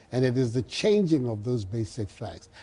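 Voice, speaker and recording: A man's somewhat breathy voice carries a dark, mellow tone and lively intonation. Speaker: politician. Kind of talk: TV interview answer.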